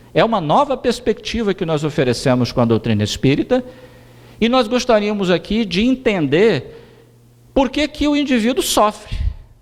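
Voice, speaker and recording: Through noticeable background noise, a man's high-pitched voice moves in very wide pitch swings. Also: moderate pace. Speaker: spiritist lecturer. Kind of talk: lecture.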